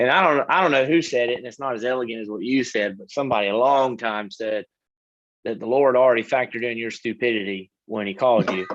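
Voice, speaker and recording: Talking at a very fast pace, a man at medium pitch shows big swings in loudness and ordinary pitch variation. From US South, Florida (Lithia). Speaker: missionary. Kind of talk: interview.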